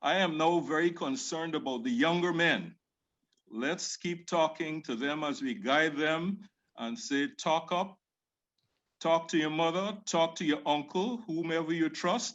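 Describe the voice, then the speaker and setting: A man with a Caribbean accent speaks at a fairly slow pace in a fairly high pitch. His pitch varies in an ordinary way over a quiet background. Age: middle-aged. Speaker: fraternity member. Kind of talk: virtual panel discussion. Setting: video call.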